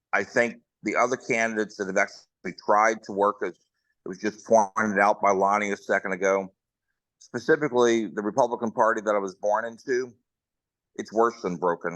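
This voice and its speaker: A man with an American accent and a bright, sharp tone speaks fairly quickly at a fairly low pitch, with a dry, close sound with no echo and a quiet background. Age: 60s. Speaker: political candidate. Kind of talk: candidate forum speech.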